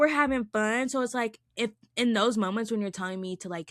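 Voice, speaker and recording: At a moderate pace, a woman talks with lively intonation and an animated tone. The recording is dry and close, with no echo. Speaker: podcast co-host. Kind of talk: casual chat. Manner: loud.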